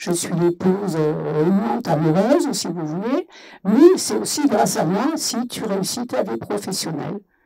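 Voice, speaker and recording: A woman's dark, mellow tone at a fairly slow pace, with very wide pitch swings. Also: medium pitch for a woman. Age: 70s. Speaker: workshop participant. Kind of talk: panel discussion. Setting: festival debate, live radio.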